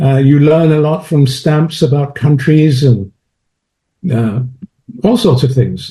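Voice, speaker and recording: Speaking very slowly with long, frequent pauses, a man with a British accent has a dark, mellow, somewhat breathy tone, a fairly high pitch, ordinary pitch variation and very even loudness. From London, England. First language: French. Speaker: chemist and philosopher of science. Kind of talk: interview.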